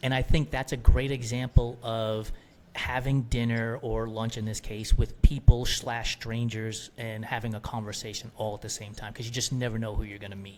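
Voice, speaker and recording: A man talks at a moderate pace and medium pitch, with hardly any pauses. His loudness swings widely. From New York, US. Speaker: endurance athlete and entrepreneur. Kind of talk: casual interview chat. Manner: animated.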